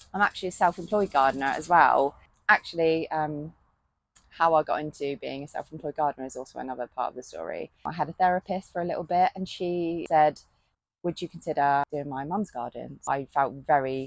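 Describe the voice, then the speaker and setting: With a British accent and a very deep, low pitch, a woman speaks fairly quickly with ordinary pitch variation and big swings in loudness, in a dry, close sound with no echo. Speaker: gardening vlogger and self-employed gardener. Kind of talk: casual vlog monologue. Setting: polytunnel on allotment. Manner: halting.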